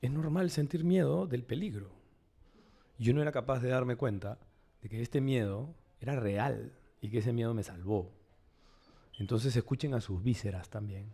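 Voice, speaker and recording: At a moderate pace, a somewhat breathy voice with a dark, mellow tone speaks with long, frequent pauses. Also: man, medium pitch for a man. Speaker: psychoanalyst and writer. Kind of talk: panel discussion.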